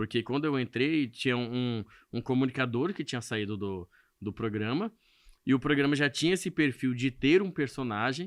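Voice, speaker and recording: A man talks at a moderate pace with a medium pitch and lively intonation. The sound is dry and close with no echo, over a quiet background. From Brazil, Mato Grosso do Sul interior, Corumbá region. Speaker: radio host and comedian. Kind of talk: podcast interview.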